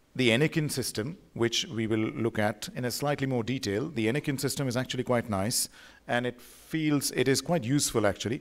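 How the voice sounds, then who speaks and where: A man at a fairly quick pace with ordinary pitch variation. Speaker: visiting radiology lecturer. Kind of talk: lecture. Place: hall. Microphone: podium.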